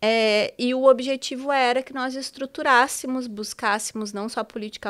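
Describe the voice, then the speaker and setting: A normal speaking voice from a woman, fairly high in pitch. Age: 40s. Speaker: teacher and diversity consultant. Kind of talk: interview.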